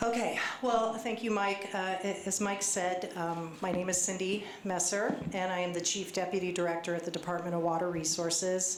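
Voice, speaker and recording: A woman at a medium pitch and moderate pace, with fairly even intonation and very even loudness, amid audible room echo and noticeable background noise. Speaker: government official. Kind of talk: public presentation. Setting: community meeting with audience.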